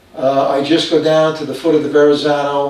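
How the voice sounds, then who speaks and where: Over noticeable background noise and audible room echo, a man speaks with an American accent. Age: 80s+. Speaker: retired police officer and marathon runner. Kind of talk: documentary interview. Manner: hesitant, with frequent fillers.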